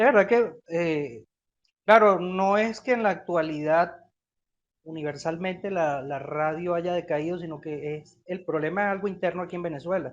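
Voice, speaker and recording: A man's high-pitched voice at a moderate pace, with ordinary pitch variation and big swings in loudness. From Venezuela. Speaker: interviewer, host of a Venezuelan nostalgia channel. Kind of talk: interview questions.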